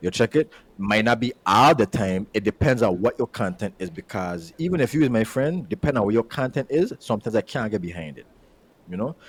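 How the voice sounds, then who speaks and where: Medium-pitched man with a Virgin Islands accent, lively intonation and a fairly quick pace, in a dry, close sound with no echo. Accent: Virgin Islands accent, unchanged. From US Virgin Islands. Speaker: podcast host. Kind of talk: casual chat. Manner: repetitive, halting starts.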